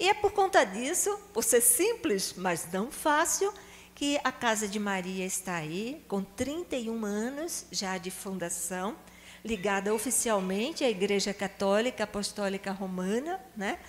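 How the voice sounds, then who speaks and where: With a Recife accent, a woman speaks at a fairly slow pace. Her voice is fairly high, with lively intonation. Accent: Pernambuco (Recife). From Brazil, Recife (Pernambuco). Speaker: psychologist and charity founder. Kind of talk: talk to a prayer group.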